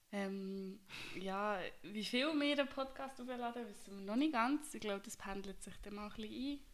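A woman speaks at a moderate pace with a fairly high pitch, ordinary pitch variation, big swings in loudness, and audible room echo. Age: 20s. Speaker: podcast co-host, veterinary assistant. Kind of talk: casual chat.

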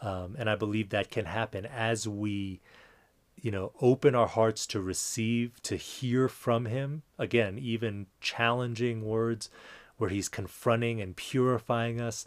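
On a very clean recording with a silent background, a man talks at a fairly slow pace with fairly even intonation. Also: medium pitch for a man. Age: 40s. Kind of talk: personal reflection monologue. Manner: halting, many fillers and repetitions.

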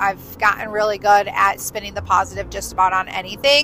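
A woman is speaking. Noticeable background noise is audible behind her. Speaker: podcast host. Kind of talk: casual monologue. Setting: in a car. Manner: loud.

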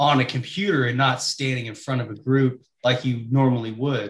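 Somewhat breathy, a man with medium pitch talks at a moderate pace. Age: 20s. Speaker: podcast co-host. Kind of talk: casual interview.

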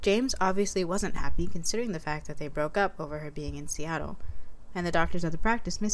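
The speaker is reading aloud in a natural voice. The reading runs through the clip.

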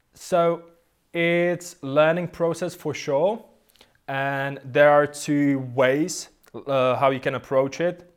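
Speaking very slowly, a man talks with a non-native accent. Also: fairly high pitch for a man, fairly even intonation. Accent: foreign-accented English. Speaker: guitarist and online course creator. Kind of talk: casual interview chat.

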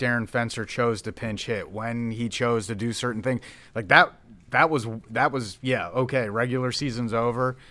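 A man of medium pitch with an American accent and a normal speaking voice, at a moderate pace and in fairly even intonation, on a very clean recording with a silent background. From Philadelphia. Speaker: minor league baseball general manager. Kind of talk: casual interview. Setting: stadium locker room.

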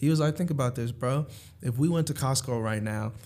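Speaking in a New York accent, the man shows ordinary pitch variation. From New York (Harlem and Long Island). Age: 20s. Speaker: finance professional. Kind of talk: casual chat.

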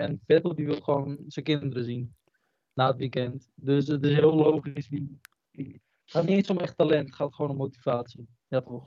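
At a moderate pace, a man with a fairly high pitch and a dark, mellow tone speaks with fairly even intonation in a dry, close sound with no echo.

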